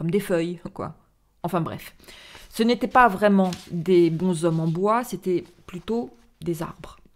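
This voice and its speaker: A woman speaks at a fairly low pitch and a very slow pace. Her speech has long, frequent pauses. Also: ordinary pitch variation. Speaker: storyteller reading a theatrical monologue. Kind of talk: dramatic narration of a monologue, read aloud. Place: home room. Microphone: studio mic.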